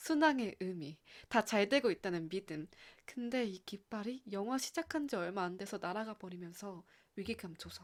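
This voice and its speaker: A woman with an unremarkable speaking voice talks at a moderate pace and medium pitch, her intonation lively and her loudness swinging widely. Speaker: radio-style channel host. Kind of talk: scripted radio-style talk with lyric reading. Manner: warm, friendly, conversational.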